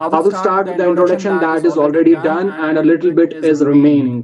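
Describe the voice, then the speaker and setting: A man speaks in a high voice with ordinary variation in pitch. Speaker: communication skills trainer. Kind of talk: online training session. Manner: slow, with pauses.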